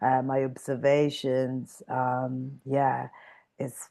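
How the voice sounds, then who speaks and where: A woman with an Italian accent speaks with a very deep, low pitch and a dark, mellow tone over a quiet background. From northern Italy (Mantua). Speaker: fashion stylist and creative director. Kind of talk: interview chat. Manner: many fillers, searching for words.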